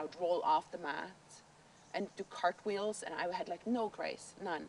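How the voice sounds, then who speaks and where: This woman speaks with a Norwegian accent and ordinary pitch variation. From northern Norway, island of Andøya. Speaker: documentary interviewee. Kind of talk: personal testimony. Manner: halting, many fillers.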